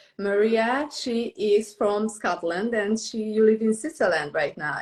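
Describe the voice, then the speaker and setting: Lively intonation marks a woman's fairly high voice with a non-native accent. She keeps a fairly slow pace. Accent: foreign. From Romania, Transylvania. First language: Romanian. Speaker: book editor and podcast host. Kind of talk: interview.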